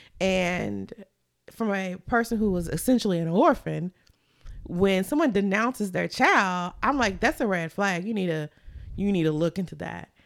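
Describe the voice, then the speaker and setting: A woman's normal speaking voice, medium in pitch with ordinary variation, moves at a moderate pace over a silent background on a very clean recording. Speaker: podcast co-host. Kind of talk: casual chat.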